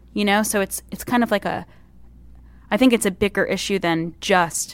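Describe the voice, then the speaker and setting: A woman's voice with vocal fry at a moderate pace, in a very clean recording over a silent background. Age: 30s. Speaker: comedian. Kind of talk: casual chat.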